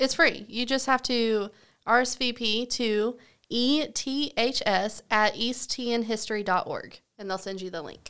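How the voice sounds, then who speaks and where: In a very clean recording with a silent background, a woman with a Southern US accent speaks at a fairly slow pace, her fairly high pitch carrying a bright, sharp tone and ordinary pitch variation. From US South. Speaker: podcast co-host, former art teacher. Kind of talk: casual chat.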